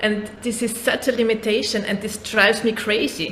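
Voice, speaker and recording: A woman with a fairly high pitch talks at a moderate pace, and noticeable background noise is present. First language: not English. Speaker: podcast host, therapist. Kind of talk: casual interview conversation. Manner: halting.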